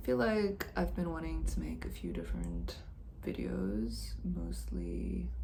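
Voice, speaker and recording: Soft-spoken, a woman with a very deep, low pitch talks in fairly even intonation amid noticeable background noise and audible room echo. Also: fairly slow pace. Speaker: video blogger. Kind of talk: casual reflective monologue. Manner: hesitant, many fillers.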